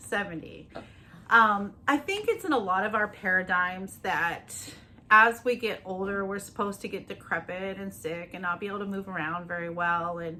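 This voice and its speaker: At a moderate pace, the speaker sounds upbeat, with big swings in loudness over noticeable background noise. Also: woman, medium pitch for a woman. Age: 50s. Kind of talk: casual interview talk to camera.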